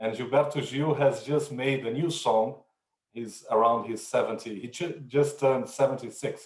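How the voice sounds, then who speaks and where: A man with a Brazilian accent speaks at a moderate pace in a somewhat breathy, fairly high voice. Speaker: corporate sustainability executive. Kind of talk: panel discussion.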